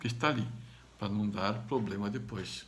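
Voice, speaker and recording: A man's hoarse, put-on character voice at medium pitch, with clear background noise. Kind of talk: teaching, lecture.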